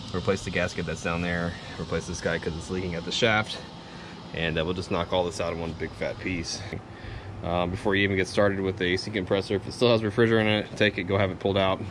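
Against noticeable background noise, a man talks at a very fast pace. His pitch is very deep and low, with fairly even intonation. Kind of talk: tutorial. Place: garage. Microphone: phone near.

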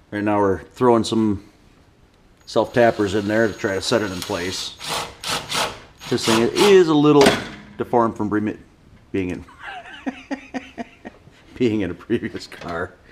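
A man's fairly low voice at a fairly slow pace, with long, frequent pauses, ordinary pitch variation and light background noise. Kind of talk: casual narration of a repair. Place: garage. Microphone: phone near.

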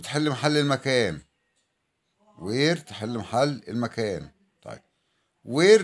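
A man with an Egyptian accent, medium pitch, lively intonation and a very slow pace. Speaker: English teacher. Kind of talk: tutorial.

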